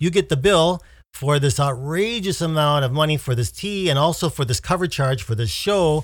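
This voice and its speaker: In a very clean recording with a silent background, a man with a fairly high pitch speaks at a moderate pace, his lively intonation somewhat breathy. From United States. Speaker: podcast co-host. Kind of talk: casual chat. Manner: halting.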